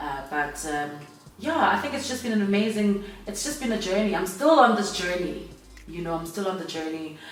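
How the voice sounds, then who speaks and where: Energetic in tone, a woman talks at a moderate pace. Audible room echo and noticeable background noise surround her voice. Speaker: radio host and entrepreneur. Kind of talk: casual interview. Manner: loud.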